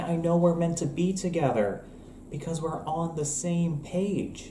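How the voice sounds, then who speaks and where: Pitched high, a man speaks at a fairly slow pace with fairly even intonation. There is audible room echo and light background noise. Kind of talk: comedic sketch dialogue. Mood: playful, grumpy misanthropic humor. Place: kitchen. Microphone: webcam.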